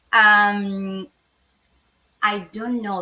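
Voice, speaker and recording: A woman's bright, sharp, medium-pitched voice with an Argentine accent. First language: Spanish. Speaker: lawyer. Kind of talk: interview. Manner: halting.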